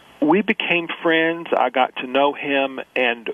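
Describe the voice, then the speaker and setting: A man's fairly high voice with an American accent, against noticeable background noise. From Mississippi, US South. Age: 50s. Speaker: social scientist, think tank founder. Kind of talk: radio interview. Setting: radio interview. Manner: halting, many false starts.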